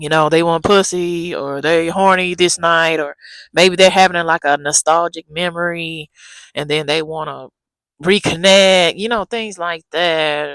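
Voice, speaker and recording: The speaker is soft-spoken, moving at a fairly slow pace with fairly even intonation, and the sound is dry and close with no echo. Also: woman. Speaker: dating advice vlogger. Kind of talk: casual advice vlog. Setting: outdoors in backyard. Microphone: new small clip-on mic.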